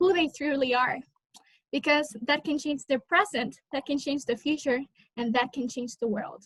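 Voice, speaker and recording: In a dry, close sound with no echo, a woman with a high pitch and a Spanish accent speaks at a moderate pace. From Honduras. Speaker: college student, scholarship recipient. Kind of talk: interview answer; prepared personal speech.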